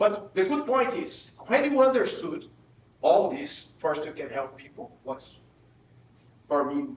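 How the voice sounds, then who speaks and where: A man with a Portuguese accent speaks at an extremely high pitch, his pitch swinging very widely and his loudness rising and falling sharply. Long, frequent pauses break up his speech, and room echo is audible. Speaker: professor. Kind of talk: lecture. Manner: halting, with frequent repetitions.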